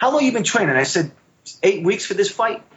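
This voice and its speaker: A man's voice comes across somewhat breathy. His intonation is lively. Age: middle-aged. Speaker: Marine veteran and jiu-jitsu competitor. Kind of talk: casual interview chat. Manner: animated.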